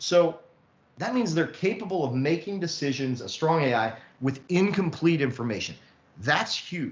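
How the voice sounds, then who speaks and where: Over noticeable background noise and audible room echo, a man speaks at a fairly high pitch with lively intonation. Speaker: lecturer on artificial intelligence. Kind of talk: lecture. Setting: online session. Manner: fast.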